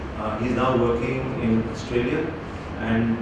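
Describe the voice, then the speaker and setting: A man speaks with strong room echo. Noticeable background noise can be heard. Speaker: professor and seminar host. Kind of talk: seminar introduction and questions. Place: classroom.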